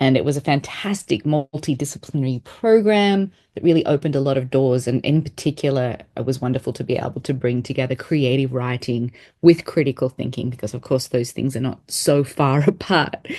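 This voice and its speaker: A woman in an Australian accent, very deep and low in pitch with a dark, mellow tone, ordinary pitch variation, a fairly quick pace and hardly any pauses. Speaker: education researcher. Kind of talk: interview. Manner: hesitant with fillers.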